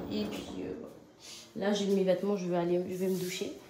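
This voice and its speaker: Here a woman is speaking. Audible room echo and noticeable background noise surround her voice. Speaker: vlogger and mother. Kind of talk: casual vlog monologue. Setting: at home. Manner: halting, many fillers; loud.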